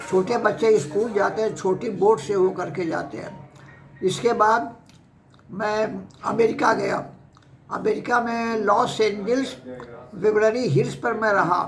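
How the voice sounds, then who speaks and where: Audible room echo and noticeable background noise surround a man's voice. His pitch is high, with ordinary variation. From Uttar Pradesh, Kanpur district. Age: 80s+. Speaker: retired professor and former university vice-chancellor. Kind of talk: life story interview.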